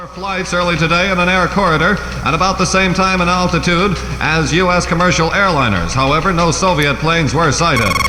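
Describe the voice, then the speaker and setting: A man with a high pitch speaks at a fairly quick pace and fairly even intonation against noticeable background noise. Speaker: radio newsreader. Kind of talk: radio newscast.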